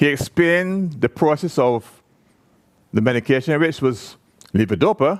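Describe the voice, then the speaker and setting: A man with a Barbadian accent speaks at a moderate pace in a fairly high pitch, his loudness very even, with long, frequent pauses and a dry, close sound with no echo. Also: lively intonation. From Barbados. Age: 70s. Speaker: person with Parkinson's sharing experience. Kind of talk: conference talk to audience. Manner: conversational, animated.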